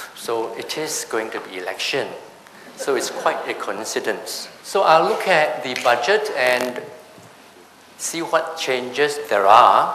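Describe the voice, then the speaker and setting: A man speaks very slowly at a fairly high pitch, with very wide pitch swings. Room echo is audible, and background noise is noticeable. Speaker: tax seminar speaker. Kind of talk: seminar presentation.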